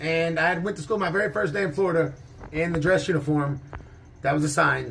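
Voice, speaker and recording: With an American accent, a man talks at a very fast pace and a fairly high pitch, his tone animated and intonation lively. Audible room echo surrounds the voice. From Missouri, US Midwest. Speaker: storyteller. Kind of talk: storytime monologue.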